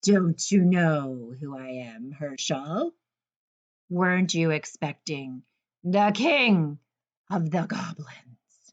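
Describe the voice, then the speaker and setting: A put-on character voice at middle pitch bellows and booms at a very slow pace. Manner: booming, menacing, roaring.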